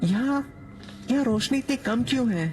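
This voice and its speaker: A put-on character voice with fairly high pitch comes through clear background noise. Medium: read story.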